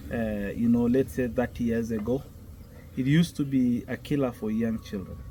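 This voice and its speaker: In a Kenyan accent, the speaker goes at a moderate pace with ordinary pitch variation. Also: man. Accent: Kenyan Maasai. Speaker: Maasai elder. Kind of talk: interview answer.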